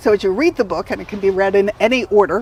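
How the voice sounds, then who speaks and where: Over noticeable background noise, a woman with an American accent speaks in an energetic tone. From Southern California. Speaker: health coach and author. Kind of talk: talk to a community group.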